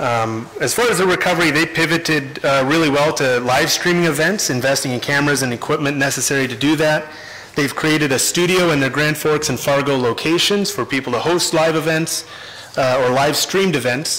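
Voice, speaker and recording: With light background noise, a man speaks at a fairly quick pace, his loudness very even and his pitch variation ordinary. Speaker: council presenter. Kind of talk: formal presentation. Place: hall. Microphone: podium.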